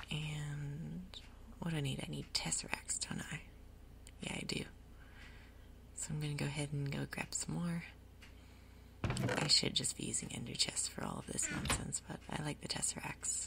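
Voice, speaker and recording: Over noticeable background noise, a woman whispers with long, frequent pauses. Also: moderate pace. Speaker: ASMR creator. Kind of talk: ASMR gaming commentary. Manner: soft-spoken.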